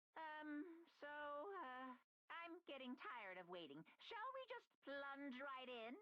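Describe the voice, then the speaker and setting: A put-on character voice delivers its lines at a high pitch and a fairly slow pace. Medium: virtual streamer. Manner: sing-song, teasing.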